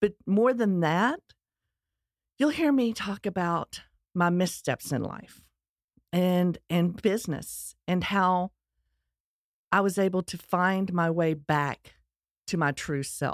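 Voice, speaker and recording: A woman with a Texas accent, medium pitch and ordinary pitch variation, at a very slow pace with long, frequent pauses, on a very clean recording with a silent background and a dry, close sound with no echo. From US Texas. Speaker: podcast host. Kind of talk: scripted-style monologue, personal story.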